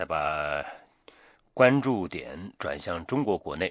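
Against a quiet background, a man with a very deep, low pitch talks with lively intonation. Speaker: radio news host. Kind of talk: news presenting. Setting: studio. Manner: formal.

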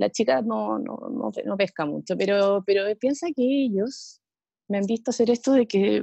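With a Chilean accent, a woman at medium pitch speaks at a moderate pace in a dark, mellow tone with lively intonation, the sound dry and close with no echo. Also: quiet background. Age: 40s. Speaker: amateur triathlete. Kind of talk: casual interview.

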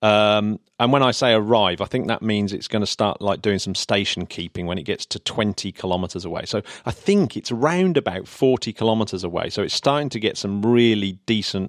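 On a very clean recording with a silent background and a dry, close sound with no echo, a man with an English accent talks at fairly low pitch and a moderate pace with ordinary pitch variation. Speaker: podcast host. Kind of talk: casual chat.

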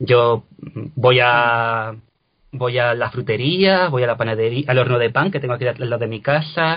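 A man speaks at a moderate pace in a plain, everyday voice, with a medium pitch and ordinary pitch variation. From Cádiz, Andalusia, Spain. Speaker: translator and actor. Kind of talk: interview.

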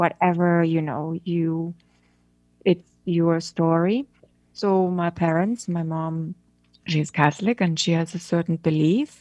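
A very slow pace, a dark, mellow tone and fairly even intonation, recorded dry and close with no echo. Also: woman, fairly low pitch for a woman. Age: middle-aged. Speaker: photographer and director. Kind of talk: interview.

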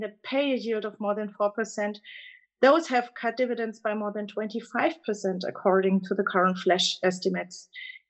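With a German accent, a woman speaks at a fairly high pitch and a moderate pace, her intonation lively over a quiet background. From Germany. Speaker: fund manager. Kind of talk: casual chat. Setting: phone call.

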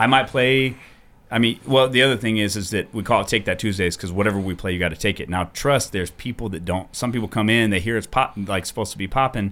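A man's fairly low voice with an American accent at a very fast pace, in a very clean recording with a silent background. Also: ordinary pitch variation. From US Midwest. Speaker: DJ. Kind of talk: interview.

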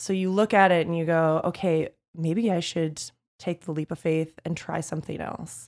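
A woman with an ordinary speaking voice and a fairly low pitch talks at a moderate pace with fairly even intonation, on a very clean recording with a silent background. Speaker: PR agency owner. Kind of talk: interview, casual conversation.

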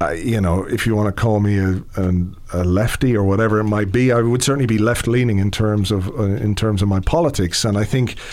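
A man speaks at a moderate pace in a fairly low voice with ordinary pitch variation, over noticeable background noise. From England, Irish parents. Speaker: podcast producer. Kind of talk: casual chat.

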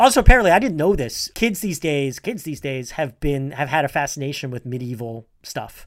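Fairly high-pitched and fairly quick, a man in a plain, everyday voice talks with hardly any pauses, lively intonation and big swings in loudness. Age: 40s. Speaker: podcast co-host and trivia quizmaster. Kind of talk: casual chat. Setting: remote call.

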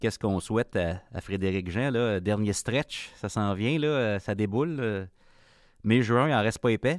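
Speaking at a fairly slow pace in a fairly low voice, a man shows ordinary pitch variation and big swings in loudness in a very clean recording with a silent background. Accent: Quebec. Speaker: podcast host. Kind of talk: casual interview conversation. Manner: hesitant, repetitive.

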